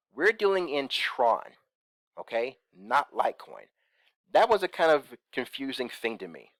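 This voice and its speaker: Recorded very cleanly, dry and close with no echo and a silent background, the voice moves at a moderate pace with very wide pitch swings, big swings in loudness and long, frequent pauses. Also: man, fairly high pitch for a man. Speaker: crypto investment YouTuber. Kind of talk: screen-share tutorial. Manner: casual, many fillers.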